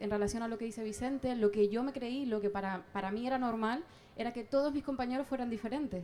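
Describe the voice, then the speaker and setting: A woman with a Canarian accent at a fairly quick pace. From southern Tenerife, Canary Islands. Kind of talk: public debate contribution. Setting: outdoor public square, sunny. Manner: halting, many fillers.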